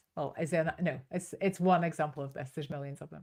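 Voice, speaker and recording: A woman at a very fast pace with a strong Northern Irish accent. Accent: Northern Irish, still strong. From Northern Ireland, Belfast. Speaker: business coach and trainer. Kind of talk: online masterclass. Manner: animated.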